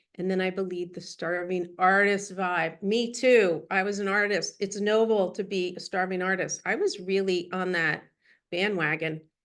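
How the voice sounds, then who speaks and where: This woman speaks at a moderate pace with a medium pitch and fairly even intonation. It is an unremarkable speaking voice. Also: quiet background. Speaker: business coach and psychotherapist. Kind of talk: workshop talk.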